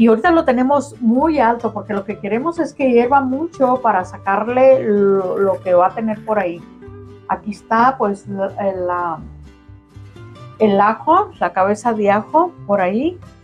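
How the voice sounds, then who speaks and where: A woman speaks at a fairly slow pace over faint music in the background. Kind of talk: cooking tutorial. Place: kitchen.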